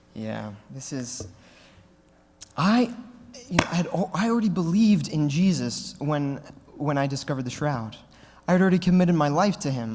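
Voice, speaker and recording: A man talks at a fairly quick pace with lively intonation and an animated tone. Audible room echo surrounds his voice. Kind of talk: Q&A talk at a conference. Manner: fast.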